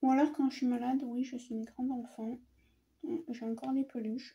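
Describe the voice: A woman's dark, mellow tone with a slightly husky edge, fairly high pitch, little pitch movement and a moderate pace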